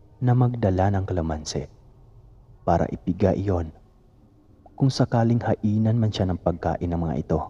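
A man speaks with ordinary pitch variation. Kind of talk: ghost story telling.

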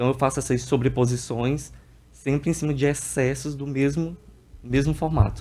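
A man's dark, mellow tone delivered in a monotone, flat intonation. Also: medium pitch for a man, moderate pace. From Piauí, Brazil (Parnaíba); Piauí, Brazil. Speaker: visual artist; guest. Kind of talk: TV interview. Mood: calm, explanatory. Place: studio. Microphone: studio mic.

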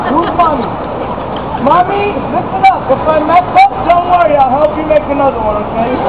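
The speech moves at a moderate pace. Loud background noise is present. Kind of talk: performer crowd banter. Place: street. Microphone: camera far.

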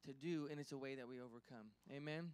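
A man is speaking at a fairly quick pace. His pitch variation is ordinary. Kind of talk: sermon-style address and prayer. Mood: warm, encouraging, then prayerful. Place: church. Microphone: handheld.

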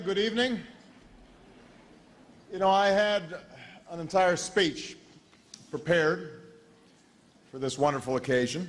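A man with an American accent talks at a high pitch with lively intonation. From United States. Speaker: politician. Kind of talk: comedic after-dinner speech. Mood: playful, deadpan humor. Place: hall. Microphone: podium.

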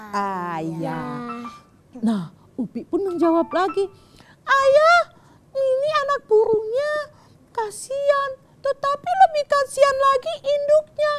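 A woman talks very slowly, leaving long, frequent pauses, as music plays in the background. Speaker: storyteller host. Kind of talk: storytelling to children. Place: studio.

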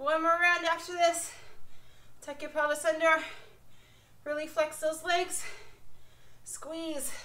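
Using a raised, projected voice, a woman speaks at a very slow pace with monotone, flat intonation. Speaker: fitness instructor. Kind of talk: workout instruction. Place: garage. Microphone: camera far.

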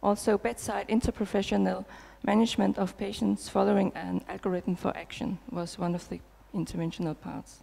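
A woman with a Danish accent at a moderate pace. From Denmark. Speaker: nurse researcher. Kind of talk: conference talk. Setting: stage with audience. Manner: hesitant with fillers. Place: hall. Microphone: headset.

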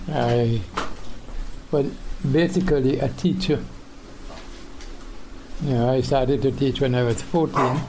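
Over noticeable background noise, the speech moves at a fairly slow pace with ordinary pitch variation and long, frequent pauses. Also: man. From Saint Vincent. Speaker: retired teacher. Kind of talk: interview answer. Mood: calm, reminiscing.

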